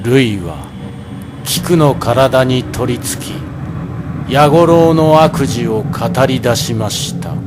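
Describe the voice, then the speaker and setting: With music in the background, a man of medium pitch speaks at a very slow pace, his lively intonation broken by long, frequent pauses. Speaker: narrator, stage actor. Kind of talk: dramatized ghost story narration.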